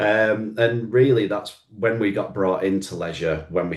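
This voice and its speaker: A man with a Lancashire accent at a moderate pace. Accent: Oldham. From northern England, Oldham. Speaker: marketing agency owner. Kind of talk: business presentation.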